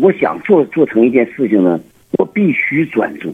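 His pitch swings very widely as the man speaks at a fairly slow pace. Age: 60s. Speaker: botanical garden owner. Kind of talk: phone interview. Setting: phone call. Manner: halting, many fillers and repetitions.

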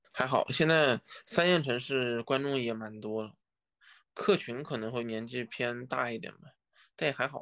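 A man with an unremarkable speaking voice talks at a moderate pace and medium pitch, with ordinary pitch variation and big swings in loudness, on a very clean recording with a silent background. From China, Wuhan. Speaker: stand-up comedian. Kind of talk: casual interview.

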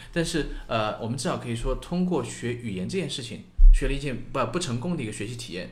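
A man's very fast, medium-pitched speech with lively intonation and vocal fry, plus audible room echo. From China, small city. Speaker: podcast co-host. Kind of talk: casual chat.

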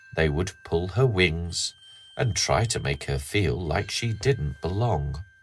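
Over noticeable background noise, a man with a very deep, low voice speaks very slowly, his intonation lively. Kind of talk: bedtime story reading aloud. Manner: slow, gentle, soothing.

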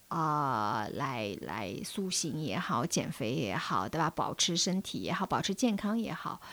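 On a very clean recording with a silent background, the speaker uses vocal fry and very wide pitch swings at a fairly slow pace. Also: woman, very deep, low pitch for a woman. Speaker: podcast guest. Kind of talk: casual chat.

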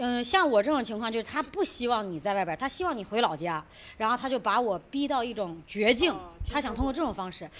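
The pace is very fast. Pitch swings very widely throughout. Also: woman, fairly high pitch for a woman. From Shijiazhuang, Hebei. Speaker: musical theatre actor. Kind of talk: casual group chat.

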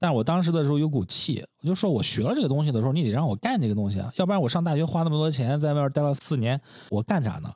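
Talking at a very fast pace, a man with a fairly high, somewhat breathy voice makes very wide pitch swings. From Shandong, China. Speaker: podcast co-host, brand designer. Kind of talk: casual chat. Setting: home studio.

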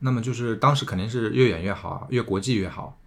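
The speech moves at a fairly quick pace, with a bright, sharp tone. The recording is very clean, with a silent background. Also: man. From Tongxiang, Zhejiang (Jiangnan countryside). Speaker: returnee silk farmer. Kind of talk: casual interview conversation.

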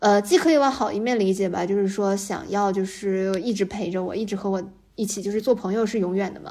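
A woman at medium pitch with ordinary pitch variation and a fairly quick pace, over noticeable background noise. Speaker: game industry worker considering a PhD. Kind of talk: casual chat. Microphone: too far from the mic at first.

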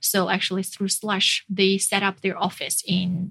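Speaking at a fairly slow pace with a Chinese accent, a woman keeps a medium pitch and a monotone, flat intonation. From northern China (Jinan). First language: Mandarin Chinese. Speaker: startup community founder and CEO. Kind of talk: interview.

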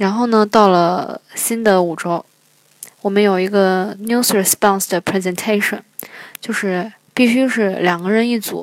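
Fairly slow and at medium pitch, a woman speaks in a plain, everyday voice. Her intonation stays fairly even. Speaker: international graduate student. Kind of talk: personal storytelling.

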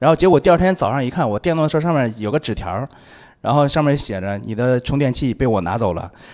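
In a very clean recording with a silent background, a man at medium pitch talks at a very fast pace with lively intonation and big swings in loudness. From Anyang, Henan. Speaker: video shooter and liquor salesman, ex wedding host, comedian. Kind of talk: casual chat.

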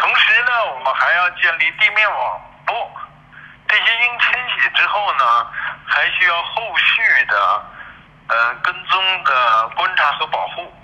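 A man talks at a very slow pace. Noticeable background noise runs under his voice. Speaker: conservation organization secretary-general. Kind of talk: interview. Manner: halting, many filler sounds.

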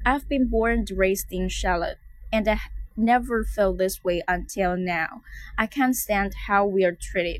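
A woman with a Chinese accent speaks at a fairly slow pace, her medium pitch showing ordinary variation. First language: Mandarin Chinese. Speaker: English teacher. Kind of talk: language lesson, repeating and translating.

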